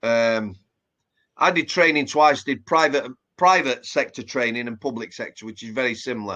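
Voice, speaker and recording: A man with a Yorkshire accent, a bright, sharp tone and very wide pitch swings, at a moderate pace against a quiet background. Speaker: former prison officer. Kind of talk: casual interview chat. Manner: hesitant with repeated words.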